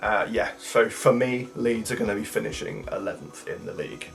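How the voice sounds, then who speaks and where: With music in the background, the man keeps to a moderate pace. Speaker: football fan, drama graduate. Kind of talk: casual talk to camera.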